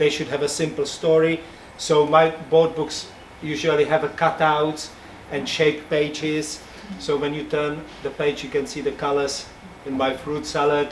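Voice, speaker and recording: Over noticeable background noise, a man speaks fairly slowly at a fairly high pitch with monotone, flat intonation. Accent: Czech. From Czech Republic. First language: Czech. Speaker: picture book illustrator. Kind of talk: talk to audience. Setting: bookshop event with audience.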